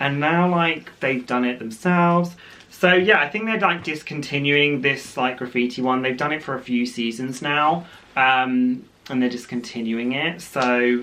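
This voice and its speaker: A man with a British accent speaks at a medium pitch and moderate pace with ordinary pitch variation over noticeable background noise. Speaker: fashion vlogger. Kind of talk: unboxing video, casual chat to camera. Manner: chatty with many fillers.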